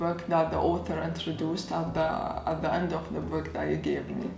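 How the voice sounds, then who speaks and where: Someone with an Arabic accent speaks amid audible room echo and noticeable background noise. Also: woman. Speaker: YouTuber. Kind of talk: casual vlog talk. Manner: casual, conversational.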